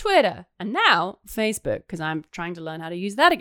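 A woman speaks with an English accent. The recording is very clean and the background silent. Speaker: podcast host. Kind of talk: casual chat, podcast banter. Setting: home during quarantine.

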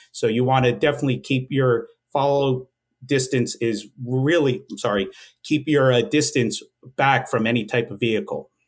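This speaker, with a New Jersey accent, sounds somewhat breathy and talks at a moderate pace with ordinary pitch variation. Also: man, medium pitch for a man. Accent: New Jersey American English. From northwest New Jersey. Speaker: police sergeant. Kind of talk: interview. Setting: studio.

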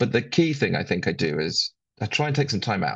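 Vocal fry runs through this voice, with very wide swings in pitch. The pace is fairly quick, and the background is quiet. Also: man. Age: 50s. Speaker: sustainability consultant. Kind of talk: interview conversation.

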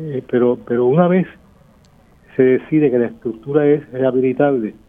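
The man's voice is medium in pitch with fairly even intonation. He keeps a moderate pace. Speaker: architect. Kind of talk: radio interview.

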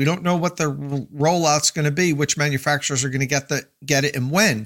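Captured in a very clean recording with a silent background, a man has an unremarkable speaking voice with a fairly high pitch and ordinary pitch variation. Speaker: tech editor, YouTuber. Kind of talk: casual chat.

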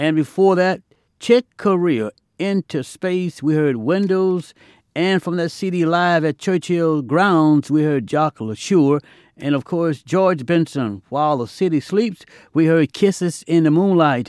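A man has a normal speaking voice at a fairly high pitch with ordinary pitch variation. He talks at a fairly slow pace, the sound dry and close with no echo. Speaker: jazz podcast DJ. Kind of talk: radio DJ patter between jazz tracks, slogan-heavy back-announcing. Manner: smooth, showman-like hype with catchphrases like no brag, just fact; warm, intimate sign-offs addressing listeners as friends.

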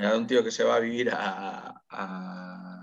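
A man with a fairly low pitch and ordinary pitch variation speaks in an ordinary speaking voice. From Spain, Getxo (Basque Country). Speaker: singer. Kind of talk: casual chat.

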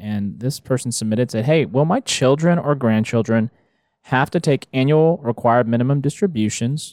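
In a very clean recording with a silent background, a man with an ordinary speaking voice and medium pitch talks at a moderate pace with lively intonation, the sound dry and close with no echo. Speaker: financial advisor host. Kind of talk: casual chat.

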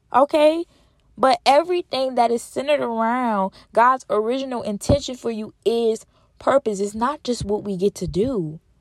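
With an animated tone and lively intonation, a woman talks at a fairly high pitch and a moderate pace in a dry, close sound with no echo. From Louisiana. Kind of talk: faith-based motivational monologue. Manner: repetitive, emphatic.

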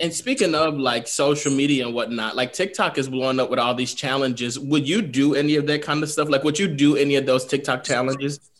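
A man's fairly high, fairly even voice with an American accent, very fast and with hardly any pauses. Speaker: podcast co-host. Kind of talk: casual chat.

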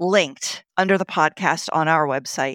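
In a very clean recording with a silent background, a woman speaks at a moderate pace with a fairly low pitch and ordinary pitch variation. She has an ordinary speaking voice, and the sound is dry and close with no echo. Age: 50s. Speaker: podcast host. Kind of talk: interview.

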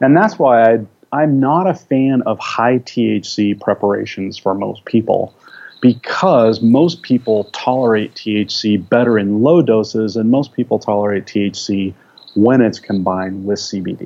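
A man speaks in an ordinary speaking voice at a medium pitch. He goes at a fairly slow pace with ordinary pitch variation. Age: 50s. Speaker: research biochemist. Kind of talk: interview.

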